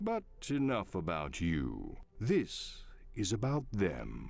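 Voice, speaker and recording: A man's put-on character voice. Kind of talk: game narrator. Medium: video game. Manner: wry, theatrical, deadpan humor.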